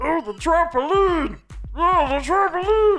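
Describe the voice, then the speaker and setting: In a put-on character voice that is squeaky and extremely high, someone speaks at a fairly slow pace over faint music in the background. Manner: grating, whiny, exclaiming.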